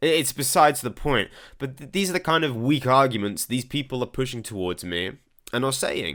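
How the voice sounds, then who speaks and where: His pitch swinging very widely, a man with an American accent talks at a fairly quick pace. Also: very clean recording, silent background. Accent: English with European and American touches. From England. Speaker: political commentator. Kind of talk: commentary reading viewer comments. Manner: halting.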